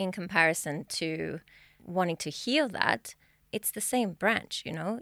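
With an Australian accent, a woman talks at a moderate pace and medium pitch with lively intonation, on a very clean recording with a silent background. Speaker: mind-body healing practitioner. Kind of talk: podcast interview. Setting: studio.

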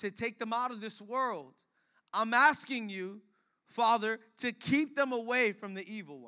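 A man raises and projects his high-pitched voice, bright and sharp in tone, at a fairly slow pace. He sounds animated, with lively intonation and big swings in loudness, on a very clean recording with a silent background. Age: 20s. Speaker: pastor. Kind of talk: sermon. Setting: church.

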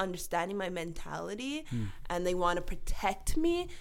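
A woman talks at a moderate pace with ordinary pitch variation, and audible room echo follows her voice. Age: 30s. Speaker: vitiligo advocate, foundation founder. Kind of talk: casual interview chat. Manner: laughs a lot.

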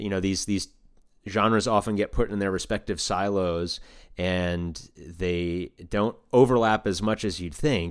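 Recorded very cleanly against a silent background, a man with an unremarkable speaking voice talks at a fairly slow pace and fairly low pitch, with ordinary pitch variation. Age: 30s. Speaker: banjo player and community organizer. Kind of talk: casual interview chat.

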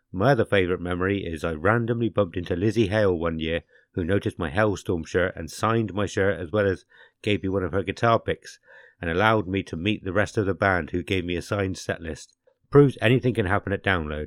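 A man with an English accent talks very fast in a very deep, low voice with ordinary pitch variation, the sound dry and close with no echo. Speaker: podcast host. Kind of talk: casual chat. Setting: video call.

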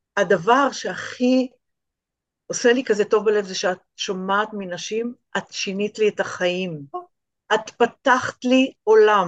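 A woman with a fairly high pitch speaks very slowly, leaving long, frequent pauses. Her pitch varies in an ordinary way, and the sound is dry and close with no echo. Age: 60s. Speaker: art teacher and small business owner. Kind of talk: interview.

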